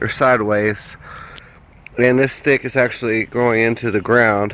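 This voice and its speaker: A man with a slight Southern US accent speaks at a moderate pace and medium pitch, his intonation monotone and flat, with noticeable background noise behind him. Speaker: amateur bigfoot researcher. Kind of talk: outdoor walkthrough video. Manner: casual, hesitant with fillers.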